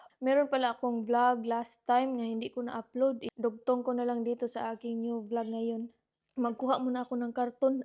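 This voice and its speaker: Soft-spoken and monotone, a woman talks with flat intonation at a high pitch in a dark, mellow tone. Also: moderate pace. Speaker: vlogger. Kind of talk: casual vlog chat. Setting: at home, partner sleeping. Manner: soft-spoken, lowered voice.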